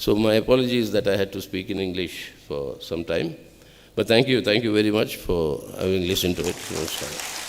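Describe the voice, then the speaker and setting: A man with a Telugu accent, fairly low-pitched, at a fairly quick pace, ordinary pitch variation, and noticeable background noise. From Andhra Pradesh, India. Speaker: political speaker. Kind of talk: public speech.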